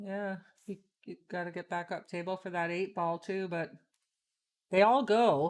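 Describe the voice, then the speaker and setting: A woman at medium pitch and moderate pace, with fairly even intonation, big swings in loudness, long, frequent pauses, and a very clean recording with a silent background. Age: 60s. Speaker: pool player, stream commentator. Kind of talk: live commentary. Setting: live stream at a pool tournament.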